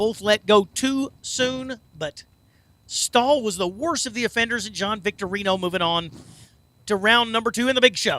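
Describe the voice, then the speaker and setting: A man speaks in a raised, projected voice, high-pitched for a man, with a bright, sharp tone and an animated delivery. His pace is moderate and his pitch varies in an ordinary way, in a dry, close sound with no echo. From southern Indiana. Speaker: drag racing announcer. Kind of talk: live commentary.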